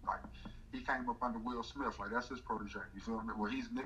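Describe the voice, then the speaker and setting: Very fast speech over noticeable background noise. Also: man. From North Carolina. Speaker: comedian and morning radio host. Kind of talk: casual interview.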